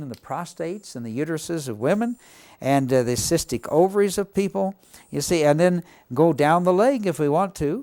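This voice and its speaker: A man with a dark, mellow tone speaks at a moderate pace with lively intonation. The recording is very clean, with a silent background and a dry, close sound with no echo. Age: 70s. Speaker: alternative health practitioner demonstrating a device. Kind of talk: product demonstration. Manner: hesitant, many filler words.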